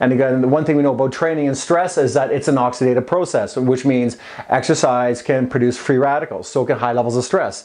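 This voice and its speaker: Against noticeable background noise, a man talks very fast with fairly even intonation. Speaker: fitness coach and supplement promoter. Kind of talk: casual vlog advice monologue. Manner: halting, many repeats and fillers.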